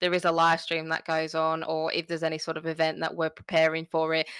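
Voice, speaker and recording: A woman with an Australian accent speaks at a fairly quick pace in an excited, bright, sharp tone, her pitch fairly low, in a very clean recording with a silent background and a dry, close sound with no echo. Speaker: gaming podcast host. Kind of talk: casual chat.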